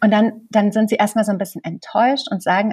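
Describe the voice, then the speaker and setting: A woman speaks in a medium pitch with a dark, mellow tone that is somewhat breathy. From East Germany, small village. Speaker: bookseller and literary presenter. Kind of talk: casual interview.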